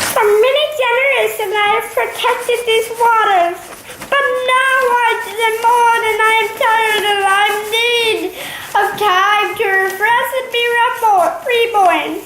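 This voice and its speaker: In a put-on character voice at an extremely high pitch, a female-sounding speaker goes at a fairly slow pace with long, frequent pauses and a slight echo. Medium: read story. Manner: solemn, commanding.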